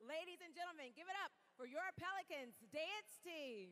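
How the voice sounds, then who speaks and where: A woman with an American accent speaks at an extremely high pitch in a raised, projected voice. Her tone is upbeat and energetic, with lively intonation. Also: moderate pace. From Louisiana, United States. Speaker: TV and live event host, entertainment and sports reporter. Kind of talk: arena announcer, PA-style crowd hype. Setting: arena PA system. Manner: upbeat, energetic, projecting. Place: stadium. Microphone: handheld.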